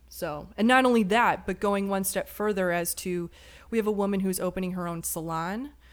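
A woman's plain, everyday voice in an American accent, medium in pitch with ordinary pitch variation, at a fairly quick pace on a very clean recording with a silent background. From Chicago. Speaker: cinematographer and documentary filmmaker. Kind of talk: casual chat.

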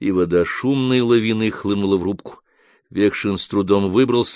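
What we hear is plain reading aloud. Pitch variation is ordinary, and the background is quiet.

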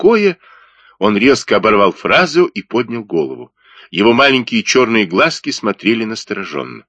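A natural voice reading text aloud

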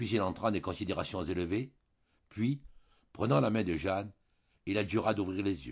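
The clip features a natural reading voice. It is used throughout.

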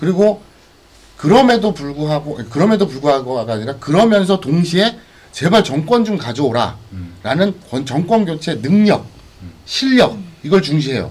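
A man with a fairly high pitch, very wide pitch swings and a moderate pace, over noticeable background noise. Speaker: live stream co-host. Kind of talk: casual live political talk show. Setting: live stream broadcast.

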